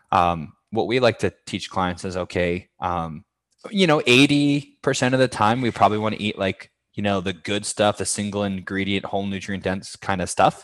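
With an American accent, a man has an ordinary speaking voice at a fairly low pitch, with ordinary pitch variation. He keeps a moderate pace on a very clean recording with a silent background. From Massachusetts (Fitchburg). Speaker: fitness coach. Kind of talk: interview.

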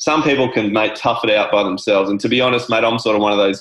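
A man's fairly low voice with an Australian accent and fairly even intonation. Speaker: wellness coach. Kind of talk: casual interview chat.

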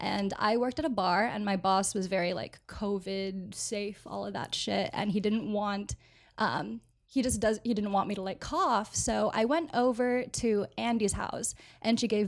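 A woman speaks in a normal speaking voice with an American accent, at a medium pitch and a fairly slow pace, with ordinary pitch variation on a very clean recording against a silent background. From Florida (Orlando). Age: 20s. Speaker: media producer. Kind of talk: casual chat.

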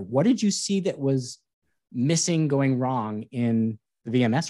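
Against a quiet background, a man with a fairly high pitch and an unremarkable speaking voice talks with lively intonation. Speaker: podcast co-host. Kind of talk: casual interview.

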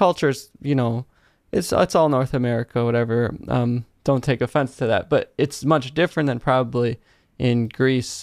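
Here is a man with a normal speaking voice, medium in pitch and ordinary in its variation. He speaks at a moderate pace, and the sound is dry and close, with no echo. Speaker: podcast host and YouTuber. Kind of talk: casual interview.

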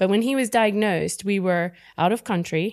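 A woman in a normal speaking voice talks at a moderate pace with fairly even intonation, on a very clean recording with a silent background. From US South, Texas. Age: 50s. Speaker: startup founder. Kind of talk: casual interview.

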